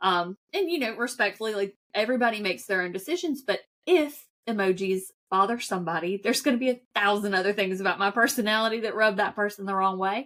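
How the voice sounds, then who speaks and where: Very fast and in a strong Southern US accent, a woman speaks at medium pitch with ordinary pitch variation. The recording is very clean, with a silent background. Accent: thick accent, US Southern (y'all). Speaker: financial advisor. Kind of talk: podcast interview. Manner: casual.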